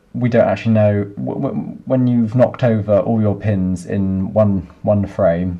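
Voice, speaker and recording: A man talks at a very slow pace and a fairly low pitch, with hardly any pauses. Background noise is noticeable throughout. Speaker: software developer. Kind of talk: coding tutorial screencast. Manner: monotonous; quiet, low volume.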